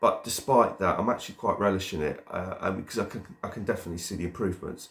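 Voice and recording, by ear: A man speaks at a fairly quick pace with a low pitch. His pitch varies in an ordinary way.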